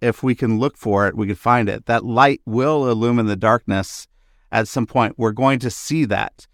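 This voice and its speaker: Dry and close with no echo, a man with a normal speaking voice and medium pitch speaks with ordinary pitch variation. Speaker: podcast host. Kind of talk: interview conversation with intro. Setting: video call.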